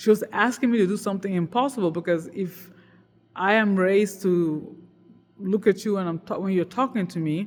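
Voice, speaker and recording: The speaker talks at a fairly quick pace on a very clean recording with a silent background. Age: 40s. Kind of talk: casual monologue. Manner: hesitant, many fillers.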